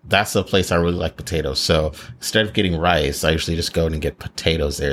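Here is a man with a very deep, low pitch. Vocal fry colors his speech. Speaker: podcast host and shuttle company owner. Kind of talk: casual chat.

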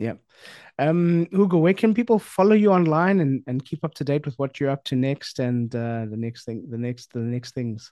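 Dark, mellow male voice, fairly high in pitch, with lively intonation at a moderate pace, in a dry, close sound with no echo. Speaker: podcast host. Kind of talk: casual chat.

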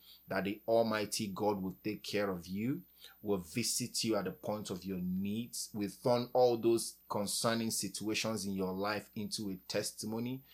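Very clean and silent in the background, this recording has a man with an ordinary speaking voice and a fairly low pitch. He talks at a fairly slow pace with fairly even intonation. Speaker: podcast host. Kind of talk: encouraging talk ending in fervent prayer. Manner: earnest, warm, fervent; heartfelt, pleading.

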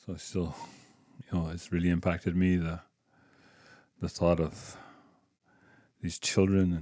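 A man's very deep, low voice at a fairly slow pace with monotone, flat intonation, in a very clean recording with a silent background. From Quebec, Canada. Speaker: church ministry director. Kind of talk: testimony and prayer.

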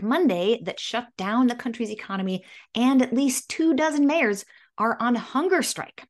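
Against a quiet background, a woman talks at a moderate pace. Her fairly high voice swings very widely in pitch. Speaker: news host. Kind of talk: news bulletin read from a script, with some off-the-cuff asides. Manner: brisk and informal, opinionated, with hesitations ('um') when explaining background.

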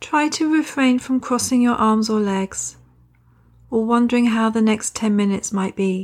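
A woman speaks in an ordinary speaking voice at a fairly high pitch with ordinary pitch variation. Her loudness stays very even. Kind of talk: guided meditation. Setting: recording. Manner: slow, calm, soothing with gentle pauses; soft-spoken, nurturing and reassuring.

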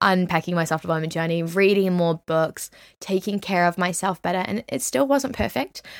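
A New Zealand accent in an animated tone, with ordinary pitch variation. The sound is dry and close with no echo, and the recording is very clean over a silent background. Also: woman. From England, then New Zealand from age nine. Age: 20s. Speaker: podcast host and young business founder. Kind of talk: casual solo chat.

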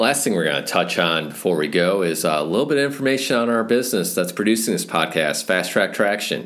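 An American accent and vocal fry mark a man's speech, which has lively intonation. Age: 30s. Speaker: podcast host, snowmobile business owner. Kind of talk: podcast monologue.

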